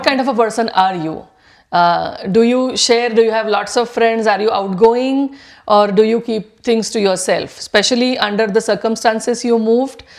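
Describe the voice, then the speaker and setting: A woman with an ordinary speaking voice talks at a moderate pace, her pitch fairly high and her intonation fairly even. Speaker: podcast host. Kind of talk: interview question.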